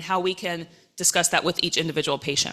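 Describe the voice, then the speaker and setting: A woman at a medium pitch, fairly even intonation, over noticeable background noise. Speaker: rheumatologist. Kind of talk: lecture. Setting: conference stage with audience. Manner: fast.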